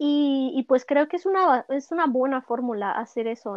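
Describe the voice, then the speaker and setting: Woman's high-pitched voice at a fairly slow pace, with lively intonation. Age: 20s. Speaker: musician. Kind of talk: casual interview. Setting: remote call.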